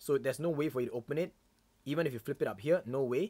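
A man talks with a Singaporean accent. The recording is very clean, with a silent background. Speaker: YouTuber. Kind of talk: live stream unboxing. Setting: live stream from home.

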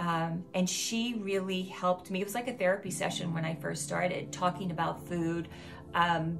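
The speech moves at a fairly slow pace with monotone, flat intonation. Faint music plays in the background. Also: woman. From Louisiana. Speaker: wellness channel host. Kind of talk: casual vlog monologue. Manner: conversational with many fillers. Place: home room.

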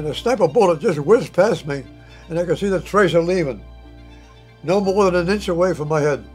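Over faint music in the background, a man talks at a fairly quick pace in a high pitch with ordinary pitch variation. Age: 80s+. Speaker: war veteran. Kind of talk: testimony. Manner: halting. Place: home room.

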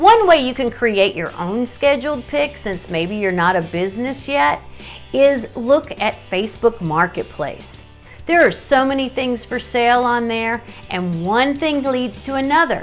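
With faint music in the background, a woman speaks at a high pitch and a fairly slow pace. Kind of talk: tutorial. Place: home room. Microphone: phone near.

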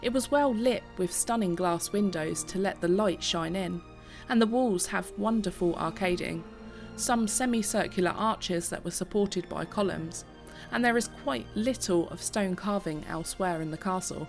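Over music in the background, a woman talks with ordinary pitch variation. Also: moderate pace. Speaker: tour narrator. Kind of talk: documentary narration.

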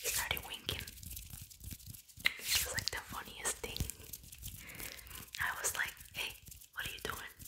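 A woman whispers at a fairly slow pace with long, frequent pauses. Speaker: ASMR creator. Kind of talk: ASMR whispering, bilingual English-Spanish. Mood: amused, playful. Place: home room. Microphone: studio mic.

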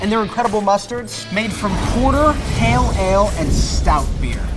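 A man at a moderate pace, with clear music playing in the background. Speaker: travel show host. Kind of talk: presenter food commentary. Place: bar.

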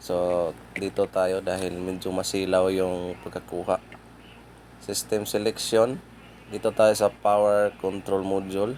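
A man speaks in a very deep, low voice. His delivery is fairly slow and monotone. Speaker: auto mechanic. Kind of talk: tutorial. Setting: outdoors.

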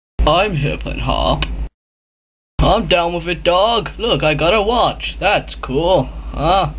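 In a put-on character voice, a man speaks raspy and high-pitched at a fairly slow pace, leaving long, frequent pauses. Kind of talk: comic abridged parody. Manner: casual, rambling, trying to sound cool.

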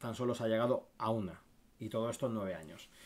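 A man is speaking. His pace is very fast. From Spain. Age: 30s. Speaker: football YouTuber and streamer; football YouTuber, streamer. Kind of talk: casual livestream commentary. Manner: animated. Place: home room.

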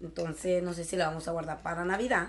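Light background noise sits under the recording. A woman talks at a moderate pace. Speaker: YouTuber; haul vlogger. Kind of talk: shopping haul video. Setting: in a store. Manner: animated. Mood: cheerful, enthusiastic. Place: home room. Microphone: webcam.

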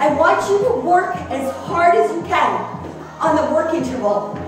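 A high-pitched woman speaks fairly slowly amid strong room echo, with clear music in the background. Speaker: fitness instructor. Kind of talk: workout instruction cues. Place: gym.

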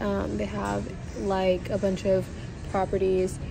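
Someone talks at a very slow pace. The woman's voice comes through noticeable background noise. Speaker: vlogger. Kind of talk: casual vlog chat. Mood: playful, laughing. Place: station. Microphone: phone near.

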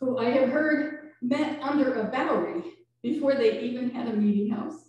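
A high-pitched woman speaks at a moderate pace with lively intonation over strong room echo. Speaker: minister. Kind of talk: sermon. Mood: reflective, warm. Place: church.

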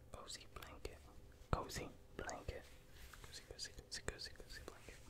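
A man whispers at a moderate pace. His tone is soothing and gentle. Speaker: ASMR creator. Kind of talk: ASMR whispering for sleep. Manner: whispered, soothing, gentle. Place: home room. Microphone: studio mic.

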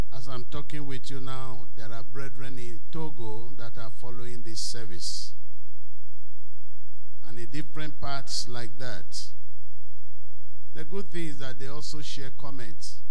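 Over light background noise, a man talks at a fairly slow pace with long, frequent pauses and very even loudness. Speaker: preacher. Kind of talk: sermon. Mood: warm, smiling. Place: church. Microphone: handheld.

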